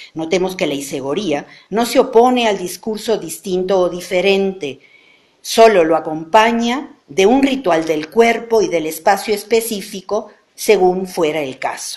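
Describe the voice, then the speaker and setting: A woman with an unremarkable speaking voice, medium in pitch, with lively intonation at a fairly slow pace. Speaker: professor. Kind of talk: lecture.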